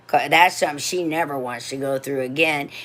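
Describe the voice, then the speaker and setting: Ordinary pitch variation from a woman pitched very deep and low. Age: 60s. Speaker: livestreamer. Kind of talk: casual storytelling. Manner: animated; halting.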